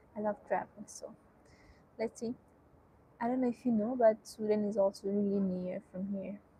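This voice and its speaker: In a Nepali accent, a woman speaks at a moderate pace in a dark, mellow, somewhat breathy tone, her intonation flat and monotone, with long, frequent pauses. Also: fairly high pitch for a woman. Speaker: student streamer. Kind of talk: casual live-stream chat. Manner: hesitant, with many fillers.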